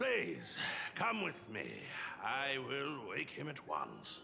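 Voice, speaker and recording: Over clear background noise, a man does a put-on character voice at a very slow pace. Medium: video game. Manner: polite, deadpan.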